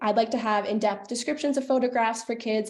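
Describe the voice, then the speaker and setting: The speaker is a woman. She talks with a Canadian accent. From western Canada (Calgary, Alberta). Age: 20s. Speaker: paramedic and youth ambassador presenting a project. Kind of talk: project presentation. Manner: animated.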